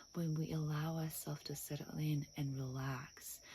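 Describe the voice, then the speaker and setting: Her voice is dark and mellow, somewhat breathy, with a very deep, low pitch for a woman. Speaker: hypnotherapist. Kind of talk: guided meditation intro.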